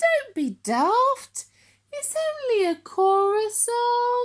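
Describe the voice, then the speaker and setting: Putting on a character voice, a woman speaks very slowly at an extremely high, squeaky pitch. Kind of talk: bedtime story. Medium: read story.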